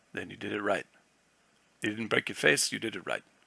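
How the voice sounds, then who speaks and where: In a put-on character voice, a man speaks raspy and fairly low at a fairly quick pace, with a dry, close sound and no echo. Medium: read story. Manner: blunt, slangy.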